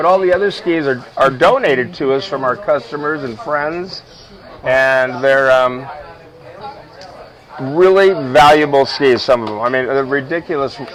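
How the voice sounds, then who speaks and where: A man's fairly high voice with long, frequent pauses, over noticeable background noise. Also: ordinary pitch variation, moderate pace. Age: 60s. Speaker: restaurant owner. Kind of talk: casual chat.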